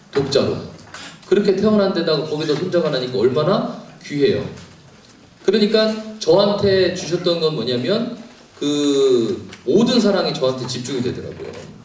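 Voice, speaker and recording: Animated in tone with lively intonation, a man speaks at a moderate pace and a high pitch, with long, frequent pauses, audible room echo, and noticeable background noise. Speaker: pastor and counseling professor. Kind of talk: lecture.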